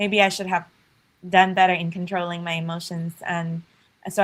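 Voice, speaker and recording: Her pitch fairly low and her intonation monotone and flat, a woman talks at a fairly quick pace. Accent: Chinese. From China, rural village. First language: Chinese. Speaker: startup founder and CEO. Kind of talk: podcast interview.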